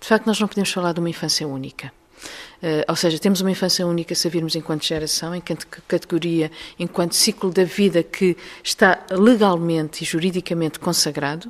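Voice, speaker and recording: A woman's fairly low voice, fairly quick in pace, with fairly even intonation. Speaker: researcher. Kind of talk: interview. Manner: hesitant, with fillers.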